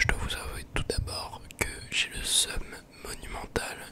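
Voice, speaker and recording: A man whispers at a very slow pace. Noticeable background noise can be heard. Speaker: ASMR and gaming YouTuber. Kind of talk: casual talk to camera, post-commentary on a game. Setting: close microphone. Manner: relaxed, chatty.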